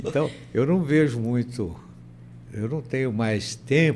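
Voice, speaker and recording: A man with vocal fry and lively intonation at a very slow pace. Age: 80s+. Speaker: university rector. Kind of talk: interview. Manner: halting, repeats words.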